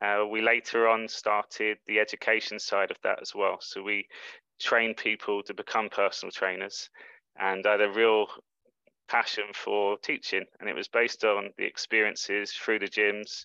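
Over a quiet background, a man with a London accent speaks at a moderate pace in a fairly low, bright, sharp tone, his intonation monotone and flat, the sound dry and close with no echo. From England, London. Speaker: life coach. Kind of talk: interview.

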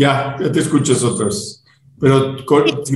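Over audible room echo, a somewhat breathy man talks at a fairly slow pace. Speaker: podcast host. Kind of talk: casual chat. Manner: halting.

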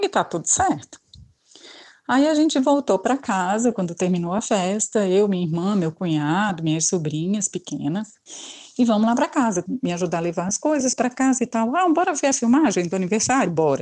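Very wide swings of pitch from a woman at a medium register. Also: moderate pace. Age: 50s. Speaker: listener. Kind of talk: recorded voice message story.

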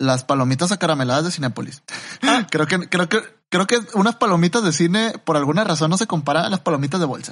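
Using a Mexican accent, a man with a high pitch speaks at a very fast pace with lively intonation. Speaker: podcast co-host. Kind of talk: casual chat.

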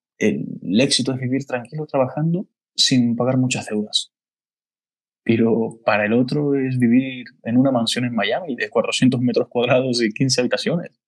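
A man with a normal speaking voice talks at a fairly slow pace, medium in pitch, with ordinary pitch variation. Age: 20s. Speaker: podcast host, business consultant. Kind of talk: casual chat.

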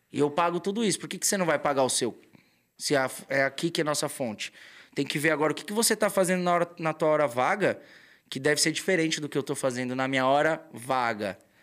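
On a very clean recording with a silent background, a man with a fairly high pitch and ordinary pitch variation speaks at a very fast pace in an animated tone. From São Paulo, Brazil. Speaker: tattoo artist. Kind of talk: casual chat.

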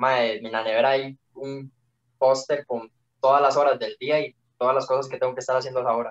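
Fairly quick and monotone, a man with a Costa Rican accent talks with flat intonation in a dry, close sound with no echo. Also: medium pitch for a man. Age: 18. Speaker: young competitive swimmer. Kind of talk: casual chat.

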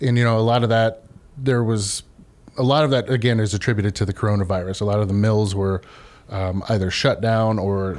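A man's fairly low pitch with an American accent, fairly even intonation and a fairly quick pace. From US Midwest, Columbus, Ohio. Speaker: lumber company salesman. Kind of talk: radio interview.

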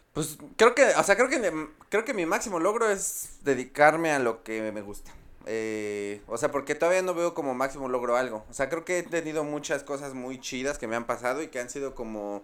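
A man with a Mexico City accent talks at a moderate pace in a fairly high voice with lively intonation, on a very clean recording with a silent background. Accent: Mexico City (chilango). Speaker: stand-up comedian. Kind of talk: casual chat.

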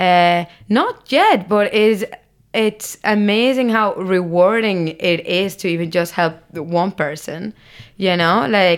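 With a Spanish accent, a woman talks at a fairly slow pace, her medium-pitched voice keeping fairly even intonation. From Barcelona, Spain. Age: 20s. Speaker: content creator. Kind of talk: casual interview chat.

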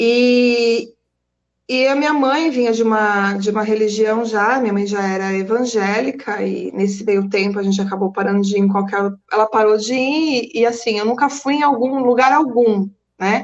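A woman's normal speaking voice, moderate in pace, with ordinary pitch variation. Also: fairly high pitch for a woman. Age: 40s. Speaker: psychoanalyst and energy therapist. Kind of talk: casual interview on a live stream.

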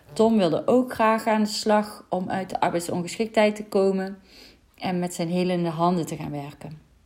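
A woman talks at a moderate pace and medium pitch in an ordinary speaking voice, with ordinary pitch variation. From Netherlands, North Brabant. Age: 30s. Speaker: mindset coach. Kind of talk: solo podcast monologue.

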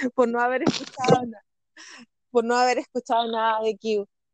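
A woman with a Chilean accent talks at a moderate pace in a fairly high voice, the sound dry and close with no echo. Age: 30s. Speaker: podcast host. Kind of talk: casual chat. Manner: laughs often, overlapping talk.

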